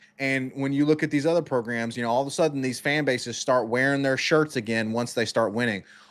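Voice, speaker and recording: A man rattles on at a very fast pace with hardly any pauses, in a medium pitch. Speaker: sports podcast co-host. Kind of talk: heated sports talk. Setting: live stream. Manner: animated, emphatic.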